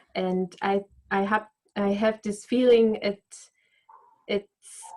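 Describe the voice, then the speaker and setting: Speaking at a very slow pace, a woman with a non-native accent keeps a monotone, flat intonation. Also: medium pitch for a woman. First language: not English. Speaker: voice coach. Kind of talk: casual chat. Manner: halting.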